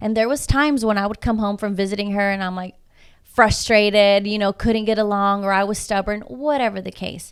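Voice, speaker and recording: Fairly quick and fairly even in intonation, a woman speaks at a medium pitch on a very clean recording with a silent background. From Houston, Texas (southwest side), Mexican-American family. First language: Spanish. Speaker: coach and public speaker. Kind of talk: casual interview chat.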